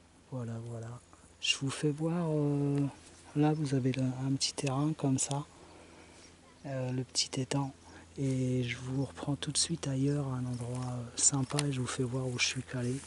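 A man's somewhat breathy, flat monotone at a fairly slow pace, with long, frequent pauses, dry with no echo, over light background noise. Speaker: van-life vlogger. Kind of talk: casual vlog chat. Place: waterside. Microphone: phone near.

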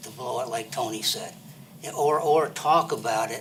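Over noticeable background noise and audible room echo, a man with an American accent talks at a moderate pace with ordinary pitch variation. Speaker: public commenter. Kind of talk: public comment at council meeting. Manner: halting.

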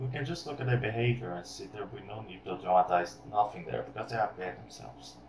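A man speaks with lively intonation at a very fast pace. Audible room echo and light background noise surround him. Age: young. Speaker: YouTube commentator. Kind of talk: commentary reaction video. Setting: webcam microphone. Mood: critical, mocking. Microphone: webcam.

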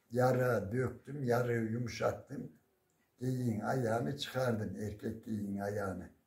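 With audible room echo, a man talks at a very slow pace. His pitch is medium and his intonation fairly even. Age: 70s. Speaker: retired primary school teacher. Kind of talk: folk storytelling. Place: home room. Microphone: phone near.

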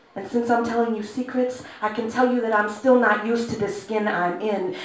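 A woman's fairly high voice at a fairly quick pace, with fairly even intonation, big swings in loudness and audible room echo. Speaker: spoken word poet. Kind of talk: live poetry performance. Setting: live venue. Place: stage. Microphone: camera far.

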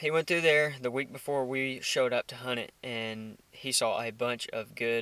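A man at a fairly slow pace with ordinary pitch variation, in a dry sound with no echo. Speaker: hunting vlogger. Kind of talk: casual vlog chat. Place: car. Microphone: phone near.

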